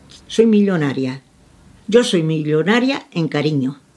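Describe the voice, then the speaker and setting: A woman at a very slow pace, her pitch swinging very widely. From Andalusia, Huelva, moved to Barcelona around age 10. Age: 80s+. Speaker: retired grandmother. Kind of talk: casual interview. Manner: halting.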